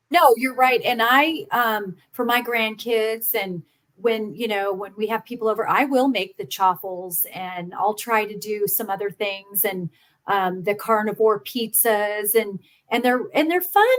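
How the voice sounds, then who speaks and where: A woman speaks fairly slowly at a fairly high pitch. Her pitch variation is ordinary, and she has an unremarkable speaking voice. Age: 50s. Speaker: podcast guest sharing health story. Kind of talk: casual interview chat.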